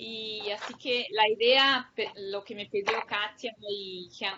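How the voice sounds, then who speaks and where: This woman's fairly high pitch shows ordinary variation. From Brazil. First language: Portuguese (speaking Spanish). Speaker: public policy researcher. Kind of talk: academic lecture.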